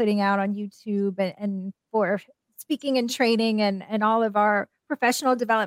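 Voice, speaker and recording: At a moderate pace, an unremarkable speaking voice with ordinary pitch variation comes through in a dry, close sound with no echo. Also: woman. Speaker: professor and author. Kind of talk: interview.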